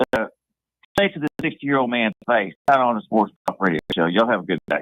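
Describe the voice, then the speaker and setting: At a fairly quick pace, a man with a medium pitch speaks with very wide pitch swings. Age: 60s. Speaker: sports radio caller. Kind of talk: sports talk radio call.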